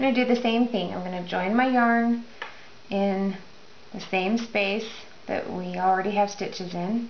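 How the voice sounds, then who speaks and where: A woman at medium pitch and moderate pace, fairly even intonation, long, frequent pauses, audible room echo and noticeable background noise. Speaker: crochet instructor. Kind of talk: tutorial.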